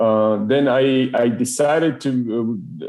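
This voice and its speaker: A man's fairly even intonation, in a Spanish accent. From Ecuador. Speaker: engineering manager. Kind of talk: podcast interview. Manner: halting, many fillers and repetitions.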